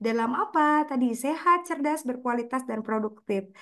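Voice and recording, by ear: A woman with a fairly bright tone talks at a moderate pace with ordinary pitch variation.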